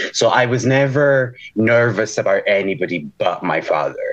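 There is noticeable background noise. Over it, a man talks with lively intonation. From Portugal and Scotland. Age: 30s. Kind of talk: casual chat.

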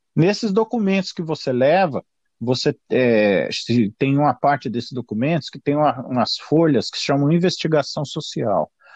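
A man's fairly high pitch and lively intonation at a moderate pace, in a dry, close sound with no echo. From Brazil, São Paulo. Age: 50s. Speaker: retired police officer. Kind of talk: interview. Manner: halting.

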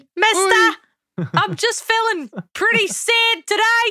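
A woman puts on a character voice at an extremely high pitch. Her pace is fairly slow. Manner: yelling.

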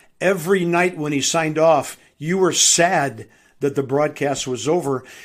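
Over a very clean recording with a silent background, a man of fairly high pitch talks at a fairly slow pace with ordinary pitch variation. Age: 60s. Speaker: baseball play-by-play announcer. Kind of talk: interview. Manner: halting, many fillers.

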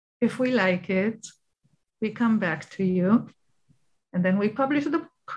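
Somewhat breathy speech with an Israeli accent, lively intonation, a fairly slow pace and long, frequent pauses. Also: woman, fairly high pitch for a woman. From Israel, Tel Aviv and Ashdod. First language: Hebrew. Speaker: children's book publisher and author. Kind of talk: interview.

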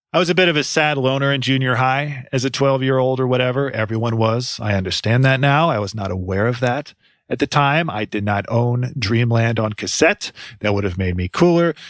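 A man with an ordinary speaking voice, medium-pitched with ordinary pitch variation, at a fairly quick pace on a very clean recording with a silent background. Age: 40s. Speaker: music podcast host. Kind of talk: scripted narration.

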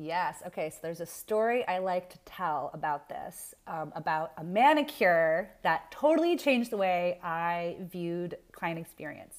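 In a very clean recording with a silent background, a woman with an unremarkable speaking voice and a fairly low pitch talks at a moderate pace. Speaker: business manager. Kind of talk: casual interview chat.

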